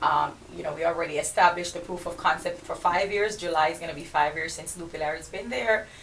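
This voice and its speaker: A woman with a Jamaican accent speaks quite fast in a fairly low voice with fairly even intonation, amid noticeable background noise and audible room echo. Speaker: entrepreneur and podcast host. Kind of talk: radio interview. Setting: radio studio.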